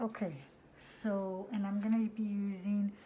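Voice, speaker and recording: A woman talks at a very slow pace in a monotone, flat delivery. Her tone is dark and mellow, and somewhat breathy. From US (born Mexico, raised in US from infancy). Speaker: nail technician vlogger. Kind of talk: tutorial. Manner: hesitant, many fillers.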